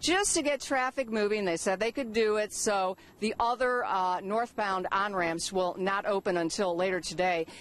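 A woman speaks at a moderate pace with ordinary pitch variation. The sound is dry with no echo. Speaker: TV field reporter. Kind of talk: live news report. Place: street. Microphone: handheld.

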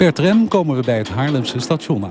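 A man's fairly high voice swings very widely in pitch against noticeable background noise. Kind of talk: vintage film narration, scripted voice-over. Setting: voice-over on historic film footage. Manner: measured, formal, documentary-style delivery; even, informative, steady pace.

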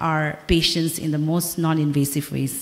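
A woman's monotone voice with flat intonation. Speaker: doctor presenting recommendations. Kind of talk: conference speech. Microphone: podium.

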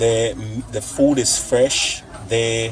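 A man is speaking. Light background noise sits behind a dry sound with no echo. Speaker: family food vlogger. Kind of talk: casual vlog chat. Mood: cheerful, playful. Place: cafe. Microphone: phone near.

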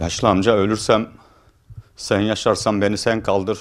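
A man's fairly low-pitched voice at a moderate pace over a quiet background. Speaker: village headman. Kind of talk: interview answer. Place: office. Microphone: handheld.

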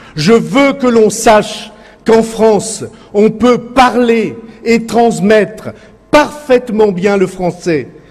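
Amid noticeable background noise, a man speaks in a high voice with ordinary pitch variation. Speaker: politician. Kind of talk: political speech at a rally.

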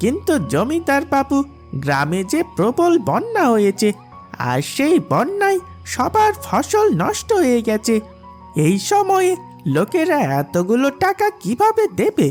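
A cartoonish character voice moves at a fairly slow pace. Clear music plays in the background. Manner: deferential, hesitant.

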